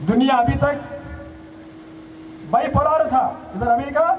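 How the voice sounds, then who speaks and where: With audible room echo and noticeable background noise, a man speaks at an extremely high pitch with lively intonation. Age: 70s. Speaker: senior organization leader. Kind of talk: public speech. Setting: outdoor rally ground with audience.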